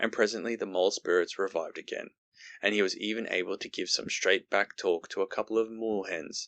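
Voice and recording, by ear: Reading aloud in a natural voice comes through with quiet behind it.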